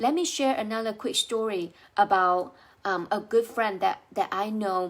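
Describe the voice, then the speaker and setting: In a very clean recording with a silent background, a woman with a Chinese accent speaks at a fairly slow pace with lively intonation. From China. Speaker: life coach. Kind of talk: motivational talk to camera.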